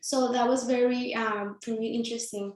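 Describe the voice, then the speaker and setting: A woman with a Mexican accent speaks at a fairly slow pace with fairly even intonation. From Mexico (Sinaloa). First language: Spanish. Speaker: nonprofit founder and CEO. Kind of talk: panel presentation.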